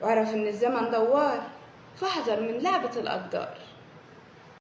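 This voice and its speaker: Over noticeable background noise, a woman speaks at a fairly slow pace in a fairly high pitch with lively intonation. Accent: Upper Egyptian. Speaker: poet. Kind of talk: poetry reading.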